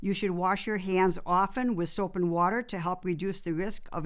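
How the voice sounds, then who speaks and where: A woman talks at a moderate pace and medium pitch. Hers is a plain, everyday voice. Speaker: podcast host. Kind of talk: podcast host talk.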